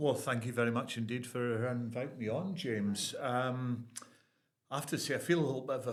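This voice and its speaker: A man's fairly even intonation in a room with audible echo. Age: 70s. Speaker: poet and retired builder. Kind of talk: casual interview chat. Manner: halting.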